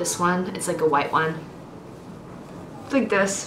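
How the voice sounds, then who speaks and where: A woman speaks at a moderate pace with lively intonation. Room echo is audible. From Austria. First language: German and Mandarin. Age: 20s. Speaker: book vlogger. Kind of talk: casual Q&A vlog. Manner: casual, with many fillers.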